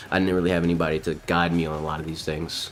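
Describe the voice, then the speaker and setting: With music playing in the background, a man talks very fast in a very deep, low voice. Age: 20s. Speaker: gaming streamer. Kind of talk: casual livestream monologue. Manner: precise enunciation; animated, ranting.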